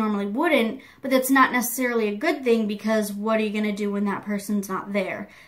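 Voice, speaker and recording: Against noticeable background noise, a woman talks at a fairly quick pace and a fairly high pitch, her intonation fairly even. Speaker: beauty youtuber. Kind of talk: casual vlog monologue. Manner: loud; rambling filler-heavy.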